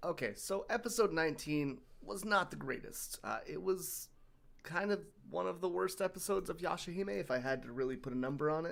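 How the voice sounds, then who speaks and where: Here a man speaks in a high pitch with lively intonation. His pace is fairly quick. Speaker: streamer and video editor. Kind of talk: casual live stream chat. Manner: halting.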